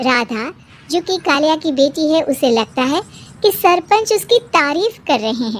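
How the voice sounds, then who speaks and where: A cartoonish character voice pitched high. It moves along at a moderate pace. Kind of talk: storytelling narration.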